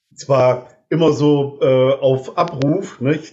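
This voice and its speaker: This is a man with an ordinary speaking voice, medium in pitch, using fairly even intonation. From northern Germany (Delmenhorst). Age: 50s. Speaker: social care worker, musician. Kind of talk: casual chat.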